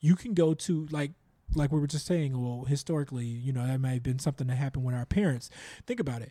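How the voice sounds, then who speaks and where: A man's fairly high, somewhat breathy voice with a dark, mellow tone, in an American accent, at a very fast pace. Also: ordinary pitch variation. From Chicago, US Midwest. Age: 30s. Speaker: podcaster. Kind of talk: casual chat.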